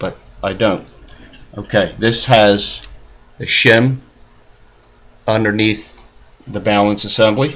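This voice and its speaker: A man's fairly low voice, fairly even in intonation and fairly slow in pace, over noticeable background noise. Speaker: watch repair hobbyist. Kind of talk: tutorial. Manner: voice trails off when concentrating. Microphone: built-in computer mic, level varies with head position.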